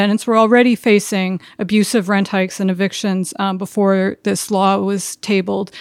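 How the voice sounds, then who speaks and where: In a very clean recording with a silent background, a woman speaks in a plain, everyday voice at medium pitch, with fairly even intonation and a moderate pace. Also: hardly any pauses. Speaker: community organizer. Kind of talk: panel talk on housing.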